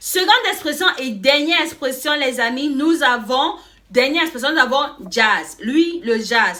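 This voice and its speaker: A woman speaks in an animated tone with lively intonation. There is noticeable background noise. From Cameroon. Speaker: YouTuber. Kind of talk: casual vlog explaining slang.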